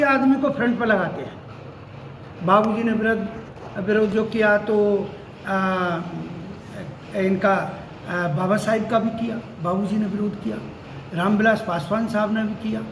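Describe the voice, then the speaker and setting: Noticeable background noise continues while the speaker stops often for long pauses. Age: 70s. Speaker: association member at a meeting. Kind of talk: interview.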